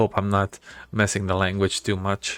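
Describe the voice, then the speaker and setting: Recorded very cleanly against a silent background, a man with a non-native accent and fairly low pitch speaks at a fairly slow pace. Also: dry, close sound with no echo. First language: not English. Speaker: gaming video creator. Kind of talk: let's play game commentary. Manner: casual, thinking aloud with fillers.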